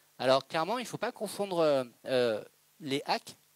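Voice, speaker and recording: Fairly high-pitched man with lively intonation and a dry, close sound with no echo. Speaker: presenter at a business breakfast talk. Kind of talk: Q&A answer at a talk. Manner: fast.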